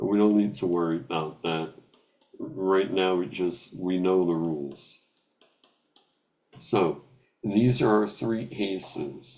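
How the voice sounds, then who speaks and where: At a very slow pace with long, frequent pauses, a man speaks in a very deep, low pitch with ordinary pitch variation. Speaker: math teacher. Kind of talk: lecture.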